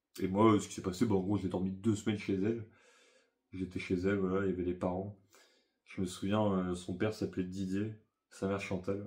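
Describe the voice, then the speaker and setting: A man speaks fairly quickly at a very deep, low pitch. He takes long, frequent pauses against a quiet background. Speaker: YouTuber. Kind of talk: casual storytelling monologue. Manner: fast; animated.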